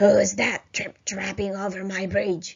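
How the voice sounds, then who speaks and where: A woman bellows in a raspy, put-on character voice. Her pitch is medium and her pace fairly slow. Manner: roaring, fierce.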